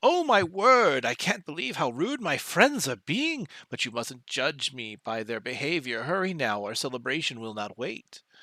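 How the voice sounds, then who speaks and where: A man's raspy, put-on character voice at a medium pitch, with hardly any pauses, in a very clean recording with a silent background. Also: moderate pace. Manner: polite, prim.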